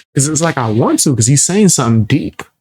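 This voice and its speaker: Over a silent background in a very clean recording, a man with a fairly high pitch speaks in a somewhat breathy voice. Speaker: music reaction youtuber. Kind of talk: casual reaction commentary.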